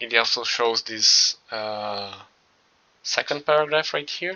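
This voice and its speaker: A man with a non-native accent speaks at a very slow pace. His voice sits at a medium pitch with ordinary variation. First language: not English. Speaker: tutorial creator, designer. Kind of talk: tutorial. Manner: halting, many filler words.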